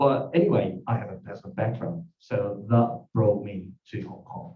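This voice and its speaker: Music plays behind a man speaking at a medium pitch with a Japanese accent and a moderate pace. His intonation is lively and his loudness swings widely. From Japan, Tokyo. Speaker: lawyer. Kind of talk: self-introduction pitch. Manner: halting.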